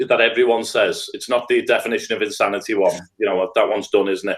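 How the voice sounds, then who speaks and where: A man speaks in a Liverpool accent. His pace is very fast. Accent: Scouse. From Liverpool, England. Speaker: restorative practice trainer. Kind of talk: podcast interview.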